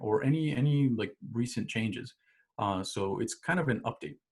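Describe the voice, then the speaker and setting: The delivery has lively intonation and a somewhat breathy sound. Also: man. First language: not English. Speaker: instructor. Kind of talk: tutorial. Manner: casual, many fillers and restarts.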